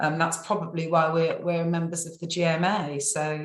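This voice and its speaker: Flat, monotone intonation marks the delivery. The voice carries an audible echo from the room. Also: woman. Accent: English. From England. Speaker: survey company staff member. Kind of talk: client testimonial interview. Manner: hesitant, many fillers and repeats.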